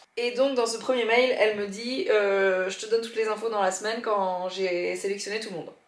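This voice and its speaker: Audible room echo surrounds this woman's voice. Her pitch is fairly high and her intonation fairly even. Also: big swings in loudness. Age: 30s. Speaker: podcaster and YouTuber. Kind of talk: vlog. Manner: fast; casual, hesitant fillers.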